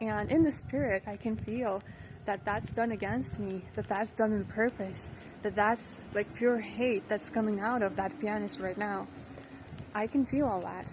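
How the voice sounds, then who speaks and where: This woman has a normal speaking voice, fairly high in pitch, with ordinary pitch variation. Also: fairly slow pace. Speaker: singer and vlogger. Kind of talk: casual storytelling vlog. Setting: outdoors in the dark, on the way somewhere. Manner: conversational with many fillers.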